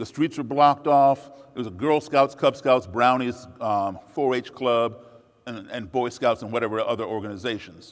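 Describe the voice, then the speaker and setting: A normal speaking voice with an American accent, at a moderate pace with ordinary pitch variation. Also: man, medium pitch for a man, big swings in loudness. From USA, raised partly abroad as embassy child. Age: 60s. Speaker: musician and speaker. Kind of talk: public talk.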